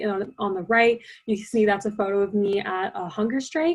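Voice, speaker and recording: A woman's somewhat breathy voice, fairly high in pitch, at a moderate pace. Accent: American. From US. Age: young. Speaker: youth climate activist. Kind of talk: presentation.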